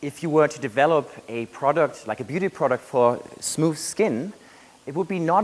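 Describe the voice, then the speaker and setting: The speaker has a German accent and lively intonation. The pace is moderate. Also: man. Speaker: graduate student researcher. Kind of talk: competition research talk.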